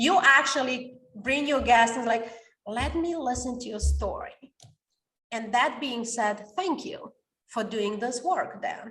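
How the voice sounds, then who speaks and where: Speaking at a fairly slow pace with a non-native accent, a woman's high, bright, sharp voice shows ordinary pitch variation and big swings in loudness. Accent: non-native English, mispronounces words. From Romania. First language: Romanian. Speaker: author and coach. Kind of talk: podcast interview. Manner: energetic.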